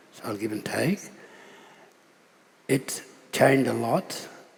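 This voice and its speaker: This man's voice sits at medium pitch. Noticeable background noise runs under it. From Australia, Darling River region. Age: 70s. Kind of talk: panel discussion.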